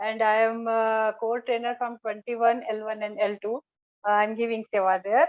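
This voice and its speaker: A woman speaks with an Indian accent. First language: Hindi. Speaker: scripture study trainer. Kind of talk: online group sharing. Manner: halting.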